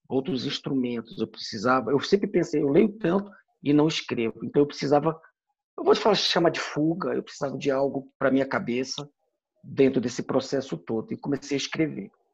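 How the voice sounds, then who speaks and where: The speaker uses a normal speaking voice with lively intonation. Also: man. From Brasília, Brazil. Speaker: military officer. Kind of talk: casual chat.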